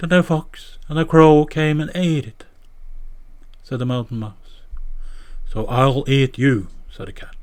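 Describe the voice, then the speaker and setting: A man speaks fairly slowly in a Norwegian accent. His fairly high pitch varies in an ordinary way. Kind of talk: fairy tale reading.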